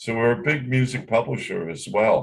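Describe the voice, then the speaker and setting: A man's somewhat breathy, medium-pitched voice with lively intonation. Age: 70s. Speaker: record label owner and songwriter. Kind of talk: interview.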